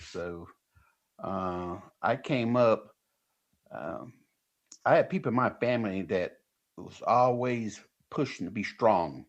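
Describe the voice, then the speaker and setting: Speaking very slowly with long, frequent pauses, a man at a medium pitch uses lively intonation, vocal fry and big swings in loudness. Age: 60s. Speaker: retired professional strongman. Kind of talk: radio interview.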